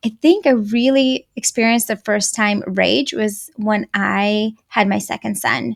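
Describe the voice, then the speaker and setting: A woman's fairly high-pitched voice with a Russian accent at a very slow pace. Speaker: anger management coach for moms. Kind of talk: podcast interview.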